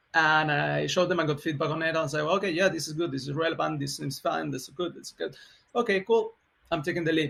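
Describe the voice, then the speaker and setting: This is a man with a Chilean accent. He talks at a very fast pace. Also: very clean recording, silent background. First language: Spanish. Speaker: software engineering leader. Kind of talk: podcast interview.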